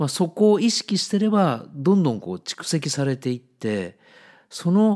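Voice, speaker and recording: A man's relaxed tone at a fairly slow pace, with very wide pitch swings, in a very clean recording with a silent background. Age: 50s. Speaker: book editor, podcast host. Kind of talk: solo monologue podcast. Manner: relaxed, conversational.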